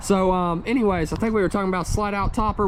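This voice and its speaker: Over noticeable background noise, a man with a high voice speaks with a Tennessee accent and fairly even intonation. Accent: US Southern (Tennessee). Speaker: RV salesman and video walkthrough host. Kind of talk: product walkthrough tutorial. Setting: outdoors at a dealership lot. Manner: casual, conversational.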